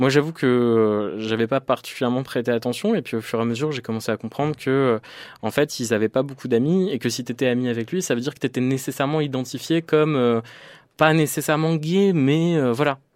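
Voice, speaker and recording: Recorded very cleanly against a silent background, the speaker talks at a fairly quick pace with ordinary pitch variation. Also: man, medium pitch for a man. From rural northern France (Picardy/Normandy). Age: 20s. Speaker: LGBT activist. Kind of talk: interview testimony. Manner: halting, many hesitations.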